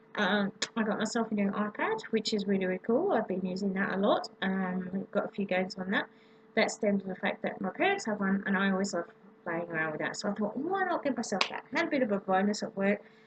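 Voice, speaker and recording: Very fast speech from a woman with an Australian accent, ordinary pitch variation, and noticeable background noise. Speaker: vlogger. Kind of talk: casual vlog. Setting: home, late at night. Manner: hesitant, many ums. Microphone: laptop microphone.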